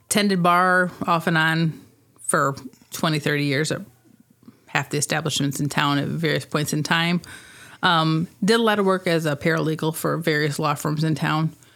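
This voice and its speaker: A woman with a Midwestern American accent and a very deep, low pitch, her loudness very even. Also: fairly even intonation, moderate pace. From US Midwest, northern Illinois (Rock Falls). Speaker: director of a downtown revitalization organization. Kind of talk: casual interview.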